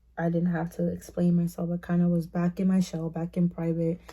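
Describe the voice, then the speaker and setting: A woman speaks at a moderate pace in a fairly low pitch. Her voice is somewhat breathy, with a dark, mellow tone. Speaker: vlogger. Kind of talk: personal vlog monologue. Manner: casual, hesitant with fillers.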